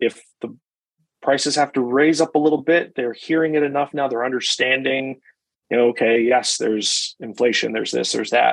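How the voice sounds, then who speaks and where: A man talks in a normal speaking voice at medium pitch. His intonation is fairly even and his pace fairly quick. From US Midwest, Chicago. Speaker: restaurant association executive. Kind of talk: casual interview.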